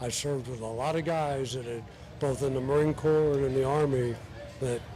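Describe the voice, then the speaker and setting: Over noticeable background noise and audible room echo, a man talks at a medium pitch with fairly even intonation. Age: 80s+. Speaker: war veteran. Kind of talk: interview.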